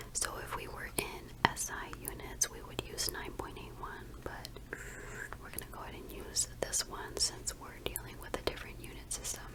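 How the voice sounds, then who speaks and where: A woman whispers at a moderate pace with big swings in loudness. There is noticeable background noise. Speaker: ASMR content creator, engineering tutor. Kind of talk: ASMR teaching video, close whispering. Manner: whispered, soft.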